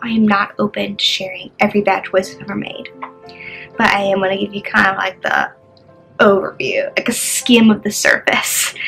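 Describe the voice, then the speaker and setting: Woman at a moderate pace over light background noise. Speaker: vlogger. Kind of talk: personal testimony, casual talk to camera. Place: home room. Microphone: phone near.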